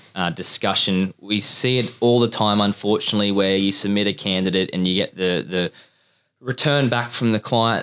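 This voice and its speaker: This man has a plain, everyday voice with fairly low pitch and fairly even intonation. He talks at a fairly quick pace, and the recording is very clean with a silent background. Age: 20s. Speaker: recruitment podcast host. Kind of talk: casual chat.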